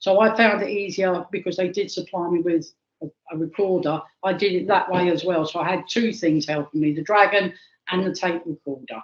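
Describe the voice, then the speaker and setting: A woman's plain, everyday voice, fairly low in pitch, with fairly even intonation at a fairly quick pace. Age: 60s. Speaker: archaeologist. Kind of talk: interview.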